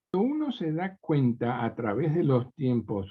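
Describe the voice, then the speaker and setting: Somewhat breathy, a man speaks at a fairly high pitch. His pace is moderate. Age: 70s. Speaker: preacher. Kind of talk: sermon.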